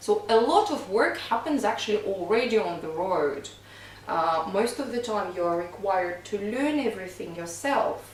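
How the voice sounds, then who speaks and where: A woman with a Russian accent speaks at a moderate pace and with lively intonation, over noticeable background noise and audible room echo. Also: medium pitch for a woman. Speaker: singing coach and touring stage singer. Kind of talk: casual podcast chat.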